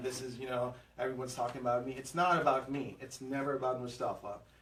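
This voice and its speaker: Speaking at a very fast pace with medium pitch, a man is heard through noticeable background noise and audible room echo. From Afghanistan and Pakistan, moved to Houston as teen. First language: Afghan language (English is fourth). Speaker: realtor, team lead. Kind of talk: podcast interview. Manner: hesitant, many fillers.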